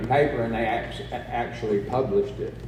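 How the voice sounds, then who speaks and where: A man with an American accent talks at a fairly quick pace. The room echo is audible, and there is noticeable background noise. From New Mexico (Roswell). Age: 60s. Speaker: recovery speaker. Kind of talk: personal testimony talk.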